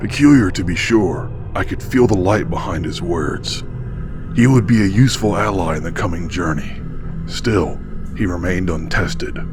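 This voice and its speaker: Against loud background noise, a man puts on a character voice with a very deep, low pitch. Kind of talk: grave dark-fantasy voice-over. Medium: machinima. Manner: solemn, clipped, steely.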